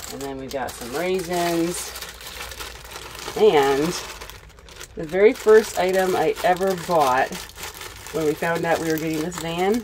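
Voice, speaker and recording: A woman with a fairly low pitch and ordinary pitch variation speaks at a fairly slow pace with long, frequent pauses and big swings in loudness, over noticeable background noise. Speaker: van life vlogger. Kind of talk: casual vlog chat. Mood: cheerful, smiling. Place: car.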